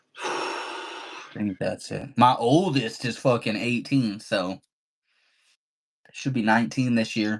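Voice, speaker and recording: A man talks at a very slow pace, and his pitch varies in an ordinary way. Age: 30s. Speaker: livestreamer. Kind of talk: casual chat.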